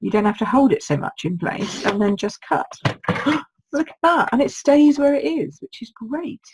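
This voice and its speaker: A woman's high voice in an English accent, with very wide pitch swings, big swings in loudness and a moderate pace. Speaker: card-making demonstrator. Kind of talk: live craft tutorial. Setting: Facebook live stream. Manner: chatty, informal.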